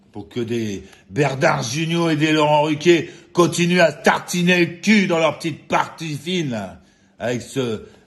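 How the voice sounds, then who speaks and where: A somewhat breathy man's voice at a fairly slow pace, with very wide pitch swings. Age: 60s. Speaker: vlogger. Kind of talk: angry rant. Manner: agitated; halting with repetitions.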